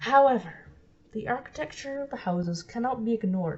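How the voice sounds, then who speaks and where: At a fairly quick pace, someone talks in a somewhat breathy voice, pitch varying in an ordinary way. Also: woman. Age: young. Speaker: amateur documentary maker. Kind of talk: documentary narration.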